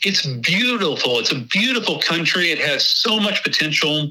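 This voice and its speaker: Swinging very widely in pitch, a man talks with a Texas accent. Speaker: hunting website creator, guest. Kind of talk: casual interview chat.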